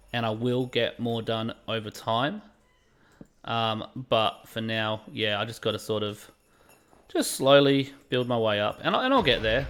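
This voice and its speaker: The speaker talks at a fairly slow pace in an Australian accent. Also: man, medium pitch for a man. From England. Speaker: gaming livestreamer. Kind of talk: casual livestream chat. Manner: animated.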